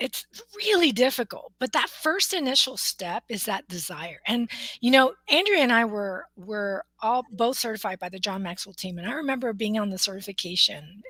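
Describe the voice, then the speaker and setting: In a dry, close sound with no echo, a woman with an ordinary speaking voice talks at a medium pitch with ordinary pitch variation. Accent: American. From US, Mexican American family. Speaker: motivational speaker, coach and author. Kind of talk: interview about her book.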